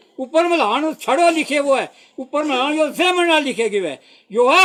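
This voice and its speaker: Raised and projected, a man's voice sits at an extremely high pitch with a bright, sharp tone. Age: 80s+. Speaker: village elder. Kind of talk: public appeal to officials. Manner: halting.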